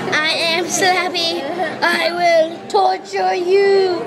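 A woman puts on a character voice with an extremely high pitch, speaking at a very slow pace. Loud noise fills the background. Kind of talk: theatrical. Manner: creepy, menacing.

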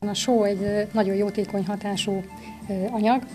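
Over clear background music, a woman speaks in a flat monotone. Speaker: interviewee. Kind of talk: interview answer. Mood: pleased, friendly. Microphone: handheld.

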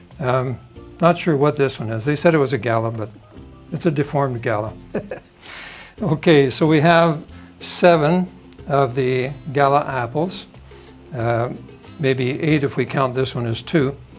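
Faint music plays in the background as the speaker goes at a fairly slow pace with long, frequent pauses. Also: man, ordinary pitch variation. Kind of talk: tutorial. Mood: light, chuckles at times. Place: kitchen. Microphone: camera far.

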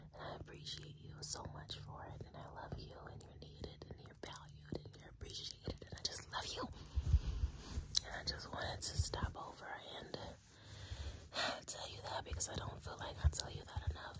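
A soft-spoken, whispering woman at a moderate pace with long, frequent pauses, over loud background noise. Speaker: comfort roleplay host. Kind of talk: soft personal-attention roleplay talk. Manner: soft, tender, near-whispered affirmations. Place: home room. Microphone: phone near.

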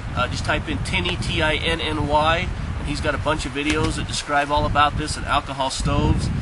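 This man keeps a moderate pace while loud background noise fills the clip. No echo colors the dry sound. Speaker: outdoor cooking vlogger. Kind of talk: casual tutorial. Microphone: camera far.

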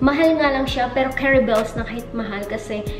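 A woman speaks at a high pitch and a fairly quick pace, with ordinary pitch variation. Music plays clearly in the background. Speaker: home vlogger. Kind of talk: casual vlog chat. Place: kitchen. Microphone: phone near.

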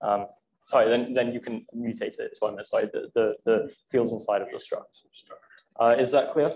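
With light background noise, a man speaks in a Welsh accent at a moderate pace. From South Wales. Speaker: student lecturer. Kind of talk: lecture. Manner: halting. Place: classroom.

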